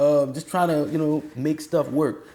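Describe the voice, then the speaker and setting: Here a man talks in a New Orleans accent at a moderate pace. His tone is dark and mellow. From New Orleans, Louisiana. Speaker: university band director. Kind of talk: interview. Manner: casual, halting with fillers.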